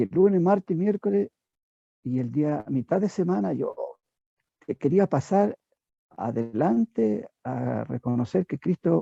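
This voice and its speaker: With very wide pitch swings and long, frequent pauses, a man speaks at a fairly slow pace in a dark, mellow tone, the sound dry and close with no echo. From southern Chile. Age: 70s. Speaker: church member giving testimony. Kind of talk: testimony. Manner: halting.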